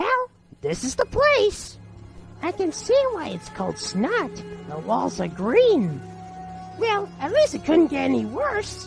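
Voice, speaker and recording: A put-on character voice at a fairly slow pace over faint background music. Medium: fan dub.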